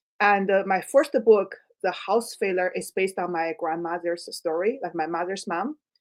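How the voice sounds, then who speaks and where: In a Chinese accent, a woman talks at a medium pitch. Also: ordinary pitch variation, moderate pace. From China. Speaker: writer. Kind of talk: interview. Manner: halting.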